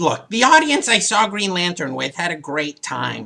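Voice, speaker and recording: Someone performs a put-on character voice at a middle pitch. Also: moderate pace. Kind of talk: comedic movie review show.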